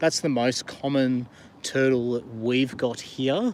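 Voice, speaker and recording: Fairly even intonation comes from a man speaking with an Australian accent. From Australia, Blue Mountains near Sydney. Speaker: YouTuber. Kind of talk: casual live stream chat. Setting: outdoors on a river in the rain.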